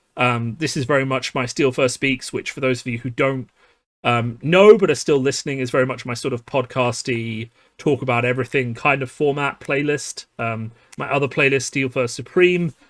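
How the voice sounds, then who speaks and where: Speaking at a moderate pace, this man has a British accent. His pitch is medium and varies in an ordinary way. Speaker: card game youtuber. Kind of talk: casual podcast monologue. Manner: many filler words.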